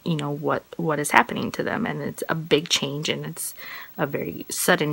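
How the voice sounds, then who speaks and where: At a moderate pace, a woman talks in a very deep, low pitch amid noticeable background noise. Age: 30s. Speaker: cancer patient. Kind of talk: casual talk to camera.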